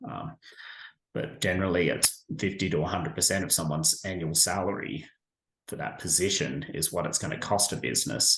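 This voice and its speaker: A man's very deep, low voice with very wide pitch swings at a fairly quick pace. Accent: Australian. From Australia. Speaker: staffing agency professional, military veteran. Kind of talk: interview answer.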